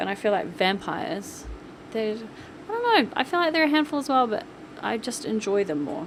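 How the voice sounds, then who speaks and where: Noticeable background noise runs under a woman's voice. Her fairly high pitch moves in very wide swings. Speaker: gaming YouTuber narrating a build. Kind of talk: casual voice-over commentary. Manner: animated.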